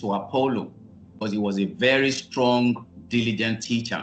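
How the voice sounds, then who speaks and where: A plain, everyday voice from a man, fairly low-pitched, at a fairly slow pace with fairly even intonation and light background noise. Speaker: minister teaching online. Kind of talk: sermon. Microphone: video call.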